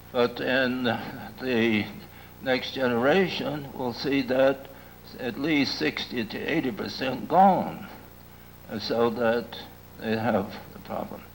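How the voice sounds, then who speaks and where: A man speaks at a very slow pace. Noticeable background noise and audible room echo surround his voice. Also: medium pitch for a man, ordinary pitch variation. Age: old. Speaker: lecturer on ecology and culture. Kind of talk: lecture. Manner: halting, with many fillers.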